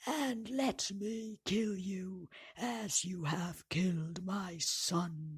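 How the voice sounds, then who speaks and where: A put-on character voice at a middle pitch, delivered very slowly. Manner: terrible, furious.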